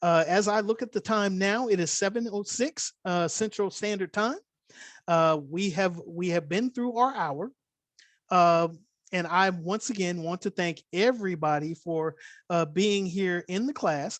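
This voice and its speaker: Fairly slow delivery with a slight Californian accent over a quiet background. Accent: slight California. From Oakland, California. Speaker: crypto instructor. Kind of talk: online class. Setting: video call.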